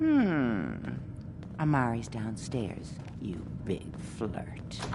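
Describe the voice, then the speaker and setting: Over loud background noise, a put-on character voice speaks at a very slow pace. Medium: video game.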